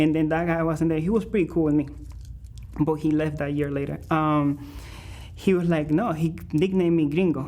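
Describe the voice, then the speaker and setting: A man with a Spanish accent, a dark, mellow tone, fairly high pitch, fairly even intonation, a moderate pace and long, frequent pauses. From Venezuela. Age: 20s. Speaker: musician. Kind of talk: interview. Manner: halting.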